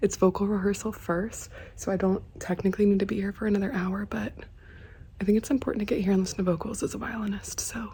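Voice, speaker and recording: Over noticeable background noise, a woman speaks very fast in a monotone, flat delivery at a medium pitch. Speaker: violinist on church worship team. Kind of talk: vlog tutorial. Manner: casual, chatty.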